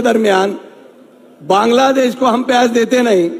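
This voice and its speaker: A voice with ordinary pitch variation comes through noticeable background noise. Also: man. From Maharashtra, Nashik district (Chandwad). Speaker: local politician. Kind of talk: rally speech. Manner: halting.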